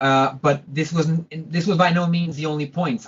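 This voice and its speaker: The speaker is a man with a somewhat breathy voice. He moves at a fairly quick pace. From Portugal. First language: Portuguese. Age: 20s. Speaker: composer. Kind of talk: interview. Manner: halting.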